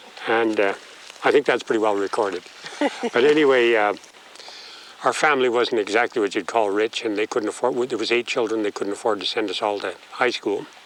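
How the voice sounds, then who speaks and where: A man with a Canadian accent speaks at a medium pitch and a fairly quick pace. His intonation is fairly even, and noticeable background noise is present. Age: 60s. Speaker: rural resident. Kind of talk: casual chat.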